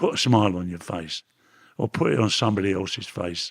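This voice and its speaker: Dry and close with no echo, this man's voice moves at a fairly quick pace. His pitch varies in an ordinary way. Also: very clean recording, silent background. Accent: Cockney. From London, East End. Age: 80s+. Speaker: reformed ex-gangster. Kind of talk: interview. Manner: halting.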